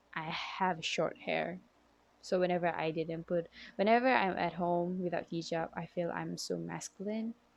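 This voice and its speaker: A woman at a moderate pace, with a Malaysian accent. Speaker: psychology student. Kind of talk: class assignment video monologue. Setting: at home.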